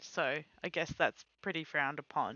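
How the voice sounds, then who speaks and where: A woman speaks quietly. Her pace is moderate. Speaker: streamer. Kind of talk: casual chat. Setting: live stream.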